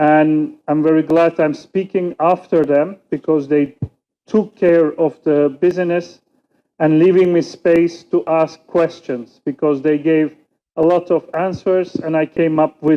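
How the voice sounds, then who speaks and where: A man with a Turkish accent speaks at a fairly slow pace in a fairly high pitch, with fairly even intonation and very even loudness. Music plays in the background. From Turkey. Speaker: political scientist and youth researcher. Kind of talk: conference panel talk. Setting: conference stage with audience.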